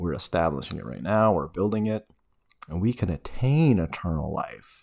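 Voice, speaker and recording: Mumbled speech with very wide pitch swings comes through on a very clean recording with a silent background. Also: man, fairly low pitch for a man, moderate pace. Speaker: religious teacher. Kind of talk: casual teaching talk. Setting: at home. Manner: mumbling. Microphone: speaking very close to the mic.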